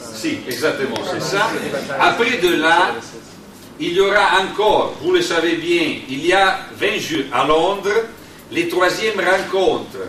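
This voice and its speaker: A man with an Italian accent talks at a very slow pace, high-pitched, with lively intonation. Room echo is audible, along with noticeable background noise. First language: Italian (speaking French). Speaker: union delegate. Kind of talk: conference talk. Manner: slow, deliberate; halting.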